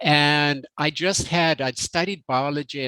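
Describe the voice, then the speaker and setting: Recorded with a dry, close sound and no echo, a man with a Zimbabwean accent speaks in a fairly high voice with a bright, sharp tone and ordinary pitch variation. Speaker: health company executive. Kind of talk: interview.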